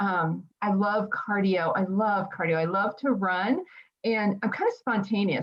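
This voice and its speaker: Speaking at a fairly slow pace, a woman keeps a medium pitch and a fairly even intonation. Her somewhat breathy voice stays at a very even loudness. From New Jersey. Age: 50s. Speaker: podcast co-host, mental health background. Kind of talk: casual self-introduction.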